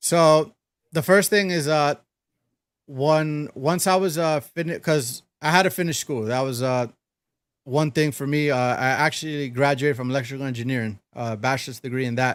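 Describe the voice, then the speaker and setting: A man with a fairly high voice speaks at a moderate pace and with ordinary pitch variation, on a very clean recording with a silent background. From New York City, Brooklyn. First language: Spanish. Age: 30s. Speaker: DJ. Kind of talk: casual interview chat. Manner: hesitant, many fillers.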